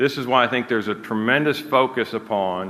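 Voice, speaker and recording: A man has an ordinary speaking voice, medium in pitch, with ordinary pitch variation and a moderate pace. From United States. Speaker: energy company executive. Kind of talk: conference talk; audience Q&A.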